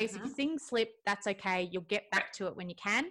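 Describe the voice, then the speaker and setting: Fairly high-pitched and bright, sharp in tone, a woman speaks at a fairly quick pace in a very clean recording with a silent background. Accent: Australian. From Melbourne, Australia. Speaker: Pilates instructor and nutritionist. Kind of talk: casual interview.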